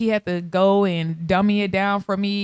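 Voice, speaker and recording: In a slight South Texas accent, a woman speaks at a medium pitch with an animated tone, the sound dry and close with no echo. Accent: slight Southern Texas. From Texarkana, Arkansas/Texas border, US South. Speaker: podcast host. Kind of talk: casual monologue.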